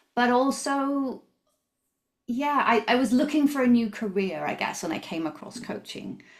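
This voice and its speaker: In a high pitch with lively intonation, a woman with a slight Canadian accent speaks at a moderate pace. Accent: English, slightly Canadian-tinged. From southern England, near Brighton. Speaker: coach and founder of coaching tools business. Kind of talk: podcast interview.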